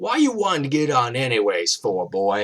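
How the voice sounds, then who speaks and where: This man puts on a character voice and cackles. His pitch sits in the medium range. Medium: read story. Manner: taunting, cackling, menacing.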